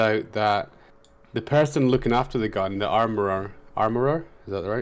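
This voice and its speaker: With a Scottish accent, a man speaks at a moderate pace and a medium pitch, using ordinary pitch variation. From Scotland. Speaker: podcast guest. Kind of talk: casual chat.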